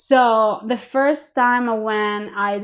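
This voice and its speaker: A woman speaks with a Greek accent. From Greece. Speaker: line cook. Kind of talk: casual chat.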